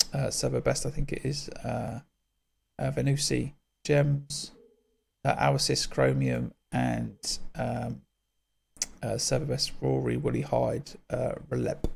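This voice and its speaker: A man's voice at a very slow pace, with long, frequent pauses. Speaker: gaming tutorial creator. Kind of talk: tutorial. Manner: halting, many fillers.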